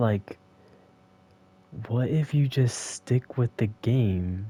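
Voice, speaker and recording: On a very clean recording with a silent background, a man speaks very slowly in a medium pitch with ordinary pitch variation, a dark, mellow tone and a somewhat breathy quality. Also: dry, close sound with no echo. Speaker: gaming streamer. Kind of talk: casual monologue. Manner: halting.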